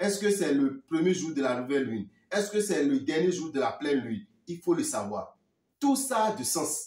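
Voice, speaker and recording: A man speaks with a Beninese accent at a moderate pace, his pitch high and swinging very widely. His loudness rises and falls in big swings. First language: Fon (speaking French). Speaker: spiritual teacher. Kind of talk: talk to viewers; sales pitch.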